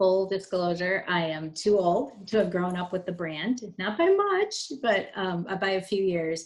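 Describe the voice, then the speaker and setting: A woman with an Upper Midwest accent speaks at a fairly slow pace with fairly even intonation. Noticeable background noise is present. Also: medium pitch for a woman. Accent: Upper Midwest American. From Wisconsin. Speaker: corporate communications director. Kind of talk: interview.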